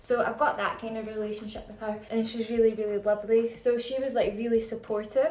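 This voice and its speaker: In a Scottish accent, a woman speaks with monotone, flat intonation. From Scotland. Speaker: business founder and vlogger. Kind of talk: casual chat. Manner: chatty, filler-heavy.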